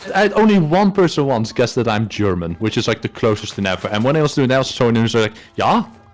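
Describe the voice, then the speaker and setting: With a strong Dutch accent, a man talks at a very fast pace with hardly any pauses, his medium-pitched voice making very wide pitch swings over music in the background. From Netherlands. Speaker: guest streamer. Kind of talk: casual chat.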